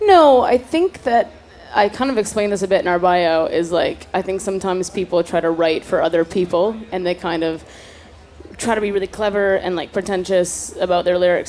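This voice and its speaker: A woman with a Canadian accent, a normal speaking voice at a medium pitch, fairly quick in pace with ordinary pitch variation. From Canada, Toronto. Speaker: singer. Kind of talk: casual interview. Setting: festival stage.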